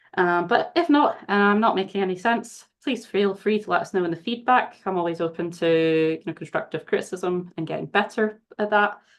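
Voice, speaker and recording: A woman's medium-pitched voice in a Glaswegian accent, fairly quick, with ordinary pitch variation. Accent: Scottish, Glaswegian. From Scotland, Glasgow. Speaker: charity research manager, former scientist. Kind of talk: webinar presentation. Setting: video call webinar.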